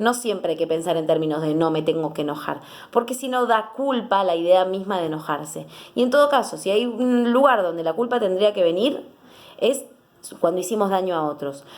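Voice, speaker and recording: Lively intonation and an animated tone carry speech that moves at a fairly quick pace. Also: woman, medium pitch for a woman. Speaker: psychologist. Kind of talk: educational talk to camera. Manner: fast.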